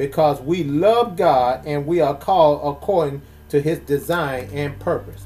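A man in a normal speaking voice, with lively intonation at a fairly slow pace. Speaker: pastor leading prayer hour. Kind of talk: group prayer service. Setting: online prayer call.

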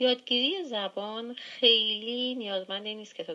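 Speaking at a fairly slow pace, a woman with a plain, everyday voice has a fairly high pitch and ordinary pitch variation. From Iran, Gilan (Langarud). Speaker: former language student, hospital worker. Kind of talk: interview.

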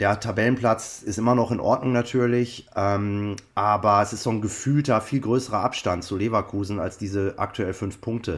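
This is a man with an unremarkable speaking voice and a fairly low pitch. His intonation is fairly even. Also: moderate pace, very clean recording, silent background. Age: 50s. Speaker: copywriter and football fan. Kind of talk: interview.

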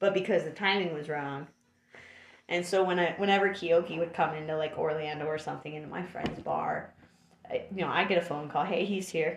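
Here a woman talks in a plain, everyday voice at a fairly quick pace. Her pitch is fairly low, with fairly even intonation. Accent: American. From Florida. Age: 30s. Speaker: podcast guest. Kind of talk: casual chat.

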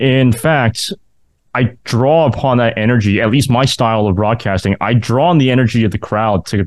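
This is an unremarkable speaking voice. It moves at a moderate pace. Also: man. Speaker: podcast host and university sports announcer. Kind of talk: interview.

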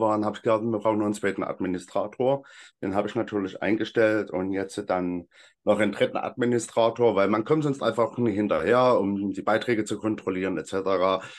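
A man with a plain, everyday voice at a fairly quick pace against a quiet background. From Saxony, Freital near Dresden. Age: 30s. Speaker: hiking group founder and volunteer. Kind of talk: casual interview.

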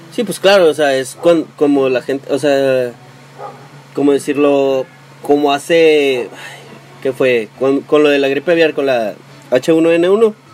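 Noticeable background noise sits under speech delivered at a very slow pace, with long, frequent pauses and ordinary pitch variation. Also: man, fairly high pitch for a man. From Mexico, Tijuana. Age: 20s. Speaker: podcast co-host. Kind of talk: casual chat.

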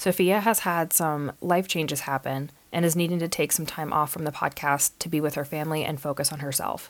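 A woman's robotic voice at a very deep, low pitch, fairly quick with hardly any pauses and fairly even intonation, on a very clean recording with a silent background. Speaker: podcast host. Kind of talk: reading a prepared update from a script. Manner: somewhat robotic, scripted.

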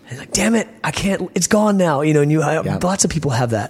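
A man with an American accent, very fast delivery and lively intonation, over noticeable background noise. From Virginia, US South. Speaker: punk band lead singer. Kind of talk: casual interview. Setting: backstage at a concert venue. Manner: soft-spoken; reflective, rambling.

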